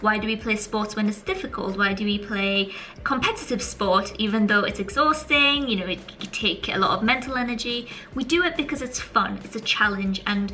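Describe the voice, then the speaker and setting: With a British accent, a woman talks fairly quickly in a fairly high, animated voice, with audible room echo and noticeable background noise. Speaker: YouTuber, student vlogger. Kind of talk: casual vlog advice. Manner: fast.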